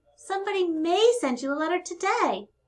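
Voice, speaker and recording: A woman does a squeaky put-on character voice at an extremely high pitch and a fairly quick pace. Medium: read story. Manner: warm, encouraging.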